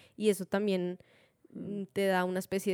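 Dry and close with no echo, a woman's voice has a dark, mellow tone at medium pitch. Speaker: podcast co-host. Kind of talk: casual chat. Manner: halting.

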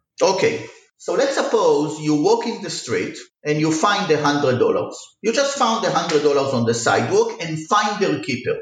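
A man at a moderate pace amid audible room echo. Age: 40s. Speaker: economics professor. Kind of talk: interview.

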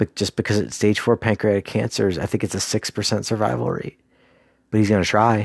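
Very fast speech comes from a man with a fairly low pitch. He shows ordinary pitch variation. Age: 40s. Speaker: solo podcaster, PhD student. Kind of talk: casual solo monologue. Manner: conversational with frequent fillers.

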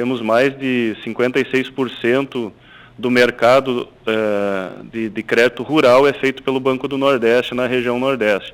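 Very slowly, a man talks in a monotone, flat intonation. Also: medium pitch for a man. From Rio Grande do Sul, Brazil (Passo Fundo). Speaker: bank executive. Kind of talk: radio interview.

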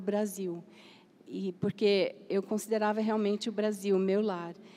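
The woman speaks at a fairly slow pace. Her intonation is monotone and flat. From Brazil, Campinas. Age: 70s. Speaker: missionary. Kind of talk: panel discussion.

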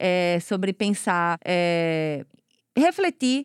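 A woman's voice with lively intonation. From Goiana, Pernambuco, Brazil. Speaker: podcast host and cultural producer. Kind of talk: interview.

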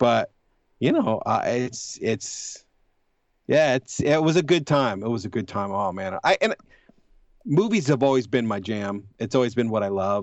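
A man speaks fairly slowly at a medium pitch with lively intonation. He has an unremarkable speaking voice. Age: 40s. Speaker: horror movie blogger. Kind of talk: casual chat.

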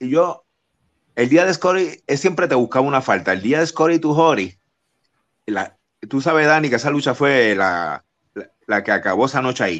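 A man with vocal fry and a fairly high pitch speaks with very wide pitch swings. He leaves long, frequent pauses against a quiet background. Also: moderate pace. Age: 50s. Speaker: wrestling TV personality. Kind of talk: casual interview.

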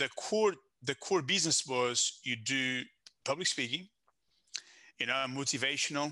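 With a Portuguese accent and a bright, sharp tone, a man speaks at a fairly high pitch with ordinary pitch variation and long, frequent pauses. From Portugal. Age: 30s. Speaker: business consultant. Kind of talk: casual interview. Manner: halting, self-correcting.

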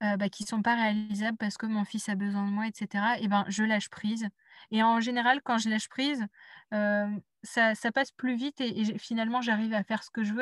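A woman talks at a fairly quick pace in a flat, monotone way, somewhat breathy. The recording is very clean and dry, close with no echo and a silent background. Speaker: intuitive life coach. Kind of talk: casual interview conversation. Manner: halting, many repetitions and hesitations.

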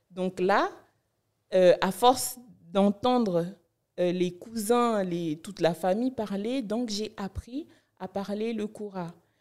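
The speech goes at a very slow pace with long, frequent pauses and big swings in loudness. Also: woman, medium pitch for a woman, ordinary pitch variation. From Benin (Cotonou, north Benin). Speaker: blogger and content creator. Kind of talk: interview.

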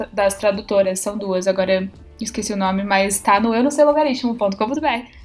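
A woman's fairly high voice comes through with music playing in the background. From Campinas, interior of São Paulo, Brazil. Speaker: linguistics graduate student. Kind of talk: casual chat.

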